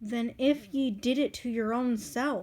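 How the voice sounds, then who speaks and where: A woman puts on a shrill, high-pitched character voice and speaks at a fairly slow pace. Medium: read story. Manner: sharp, scolding.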